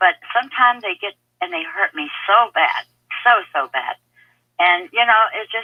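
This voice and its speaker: A woman talks with lively intonation. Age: 60s. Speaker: caller. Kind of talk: call-in radio question. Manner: halting.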